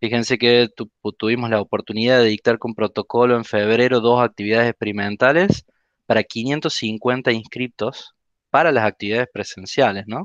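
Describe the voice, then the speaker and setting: Over a quiet background, a man with a normal speaking voice and medium pitch talks at a moderate pace with fairly even intonation, in a dry sound with no echo. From Argentina. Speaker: university lab course lecturer. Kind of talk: presentation. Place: home room. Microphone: headset.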